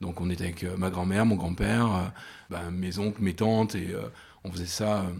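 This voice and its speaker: The pace here is moderate. This man's intonation stays fairly even. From France, Loire (Rive-de-Gier, between Saint-Étienne and Lyon). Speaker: restaurant co-founder, entrepreneur. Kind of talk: interview. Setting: restaurant kitchen. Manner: halting, many repetitions.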